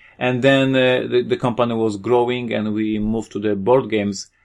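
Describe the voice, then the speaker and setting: In a Polish accent, a man speaks at a moderate pace with monotone, flat intonation against a quiet background. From Poland. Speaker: board game designer and publisher. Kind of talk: interview.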